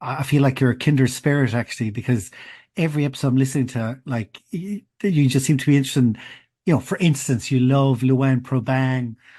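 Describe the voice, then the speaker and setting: Speaking in an Irish accent, a man has a dark, mellow tone at medium pitch, somewhat breathy, with ordinary pitch variation. He moves at a fairly quick pace over a quiet background. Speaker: podcast host. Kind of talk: casual interview chat. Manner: halting, many false starts.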